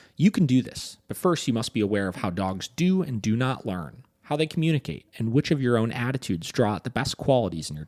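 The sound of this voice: Lively intonation lifts an unforced reading voice.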